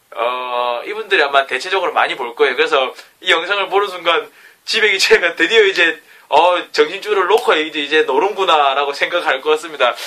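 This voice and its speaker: This man's voice sits high in pitch. He speaks at a fairly quick pace. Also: ordinary pitch variation. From South Korea, Gyeongsang (Jinju). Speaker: aspiring educator and vlogger. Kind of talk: self-recorded vlog talk. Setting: alone in his bedroom at night.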